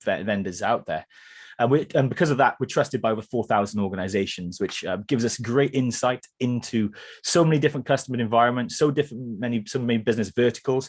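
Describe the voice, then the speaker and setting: In a Welsh accent, a man talks at a very fast pace. His pitch is medium and the background is quiet. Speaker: cybersecurity vendor presenter, former security analyst. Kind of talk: product presentation webinar. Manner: hesitant with fillers.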